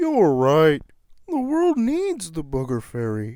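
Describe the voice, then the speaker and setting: Using a put-on character voice, a man talks at a fairly slow pace in a fairly high pitch. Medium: read story.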